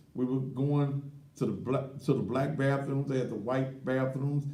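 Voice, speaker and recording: Slightly slow and fairly high-pitched, a man speaks with a dark, mellow tone and vocal fry, with audible room echo around him. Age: 60s. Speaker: talk show host. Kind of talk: live talk show monologue. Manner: animated.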